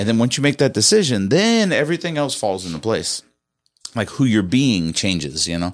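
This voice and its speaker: With an American accent, a man talks at a moderate pace. His medium pitch swings very widely. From US Midwest, St. Louis. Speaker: real estate agent, car event organizer. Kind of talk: casual chat. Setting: studio.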